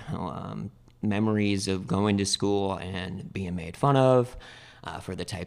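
This man has an American accent and a normal speaking voice. He talks at a fairly slow pace with ordinary pitch variation. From US Pacific Northwest, Spokane, Washington. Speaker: former addict turned outreach worker. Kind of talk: testimony.

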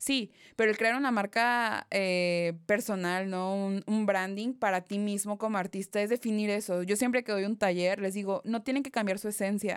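A woman speaks at a moderate pace in an ordinary speaking voice. Her pitch is medium with fairly even intonation, in a very clean recording with a silent background. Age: 20s. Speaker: photographer. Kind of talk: interview.

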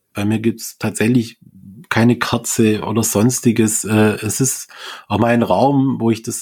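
Very slowly and at a medium pitch, a man talks with fairly even intonation. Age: 40s. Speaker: grief coach. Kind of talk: interview.

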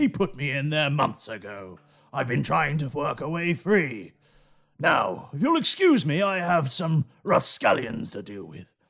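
A man does a put-on character voice, raspy and fairly high, with very wide pitch swings at a moderate pace. The recording is very clean, with a silent background. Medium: actual play.

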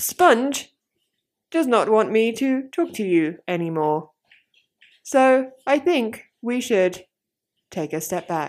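A put-on, robotic character voice that sounds female, fairly high for a woman, with very wide pitch swings, a very slow pace and long, frequent pauses.

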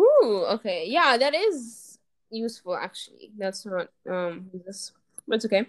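An ordinary speaking voice from a woman, fairly high in pitch, fairly slow, with lively intonation and big swings in loudness. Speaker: podcast co-host. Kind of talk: casual chat.

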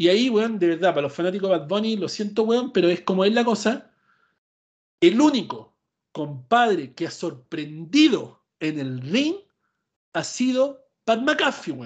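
The speaker talks at a fairly slow pace in a Chilean accent. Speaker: podcast host. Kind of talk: casual chat. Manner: animated.

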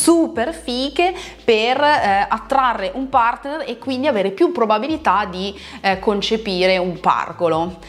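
Amid noticeable background noise, a woman speaks in an animated tone, her fairly high pitch rising and falling with lively intonation. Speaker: pole dance instructor. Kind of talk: video talk to followers.

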